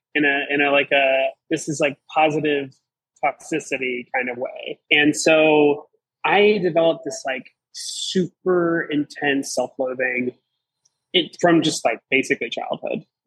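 With an American accent, a man in an unremarkable speaking voice talks at a fairly slow pace with fairly high pitch and fairly even intonation, the sound dry and close with no echo. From Southeastern Virginia. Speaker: recovering alcoholic guest. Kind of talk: testimony.

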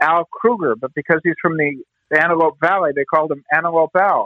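In an American accent, a man with a fairly high pitch talks at a moderate pace in an ordinary speaking voice. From Southern California, Pasadena. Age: 50s. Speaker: baseball team historian. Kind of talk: interview storytelling.

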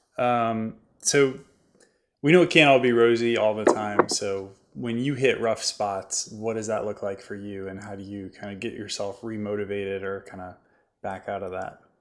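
With a normal speaking voice at a fairly low pitch, a man shows ordinary pitch variation and big swings in loudness in a very clean recording with a silent background. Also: moderate pace. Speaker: podcast host. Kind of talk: interview conversation.

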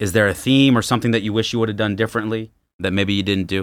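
A man with an American accent and a fairly low pitch talks at a very fast pace with ordinary pitch variation on a very clean recording with a silent background. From Los Angeles, Southern California. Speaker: podcast host. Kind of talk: interview. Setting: studio.

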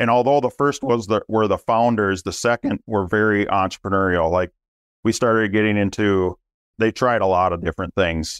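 A man's fairly low-pitched voice with a Minnesota accent, very even loudness and ordinary pitch variation, dry and close with no echo against a quiet background. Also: moderate pace. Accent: Minnesota Midwestern. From Minnesota, US Midwest. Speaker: business owner, family company executive. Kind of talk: casual interview chat.

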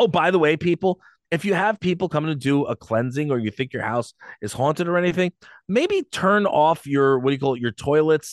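A man with an ordinary speaking voice, fairly high pitch and ordinary pitch variation, talking at a fairly quick pace over a quiet background, dry and close with no echo. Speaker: podcast co-host. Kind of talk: casual chat. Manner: loud, talkative.

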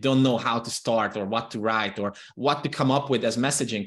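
Someone with a Hungarian accent speaks over a quiet background. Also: man. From Transylvania, Romania (Hungarian minority). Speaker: copywriting consultant. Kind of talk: interview.

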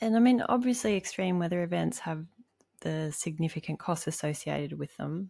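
Dark and mellow in tone, a woman speaks at a fairly low pitch with an Australian accent. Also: ordinary pitch variation, fairly quick pace. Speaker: podcast co-host. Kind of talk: interview.

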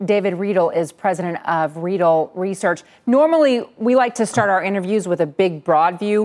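A normal speaking voice at a moderate pace, with ordinary pitch variation and hardly any pauses. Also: woman, medium pitch for a woman. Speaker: TV business news anchor. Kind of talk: live TV market news. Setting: TV studio.

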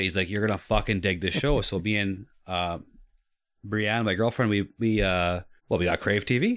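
A man with a normal speaking voice talks at a moderate pace in a fairly low pitch, on a very clean recording with a silent background. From Canada. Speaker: podcast guest. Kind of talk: casual chat.

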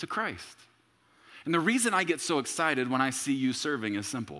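At a moderate pace, a man with a bright, sharp tone and vocal fry speaks with very wide pitch swings. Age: 30s. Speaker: pastor. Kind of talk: sermon. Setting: church service with congregation.

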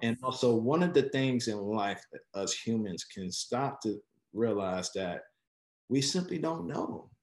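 Using an unremarkable speaking voice, a man talks at medium pitch and a fairly slow pace, with big swings in loudness. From Chicago, west side. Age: 40s. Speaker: former healthcare executive. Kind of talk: interview.

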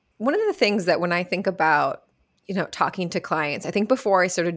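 On a very clean recording with a silent background, a woman with a normal speaking voice talks at a medium pitch and fairly quick pace with ordinary pitch variation. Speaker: podcast host. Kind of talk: interview conversation.

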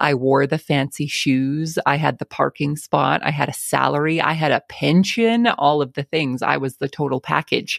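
A woman's very deep, low voice with an Albertan accent, ordinary pitch variation, a moderate pace and hardly any pauses, in a dry, close sound with no echo and a very clean recording against a silent background. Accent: Canadian (Albertan). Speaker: farmer and podcast host. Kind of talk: casual interview.

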